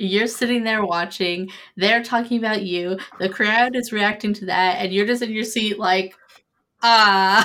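Her tone is animated, bright and sharp, at a fairly high pitch. The woman speaks at a fairly slow pace in a very clean recording with a silent background. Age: 20s. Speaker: podcast host. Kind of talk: casual chat.

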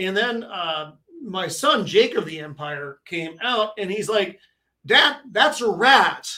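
A man in a raised, projected voice speaks at a very slow pace with a high pitch and a bright, sharp tone. His intonation is lively and his loudness swings widely. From New England. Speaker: co-host and YouTuber. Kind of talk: casual chat.

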